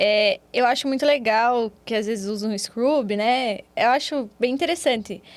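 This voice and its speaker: A woman with a Paraná accent speaks at a fairly slow pace with hardly any pauses, her high pitch showing ordinary variation. The recording is very clean, with a silent background. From Brazil, Paraná. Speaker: physiotherapist. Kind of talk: interview.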